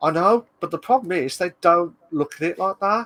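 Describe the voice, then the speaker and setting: A man with a British accent speaks at a moderate pace, the sound dry and close with no echo. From UK. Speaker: streamer. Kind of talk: casual chat. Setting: live stream.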